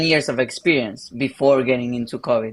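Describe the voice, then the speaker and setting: With a Spanish accent, a man speaks at a fairly high pitch using fairly even intonation. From Argentina. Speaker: pastor. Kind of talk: interview.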